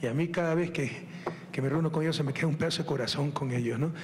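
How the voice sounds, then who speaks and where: A man talks at a very fast pace with fairly even intonation and very even loudness. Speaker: politician addressing a crowd. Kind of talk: public speech. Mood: joking, laughing, mocking. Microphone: handheld.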